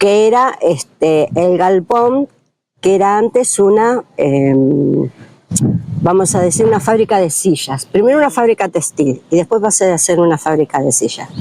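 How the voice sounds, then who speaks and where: A woman speaks at a medium pitch with a dark, mellow tone, her loudness very even while her pitch swings very widely. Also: fairly slow pace. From Argentina, Lanús (Greater Buenos Aires). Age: 60s. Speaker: neighborhood resident. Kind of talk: interview testimony. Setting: outdoors in a plaza. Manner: hesitant, many fillers.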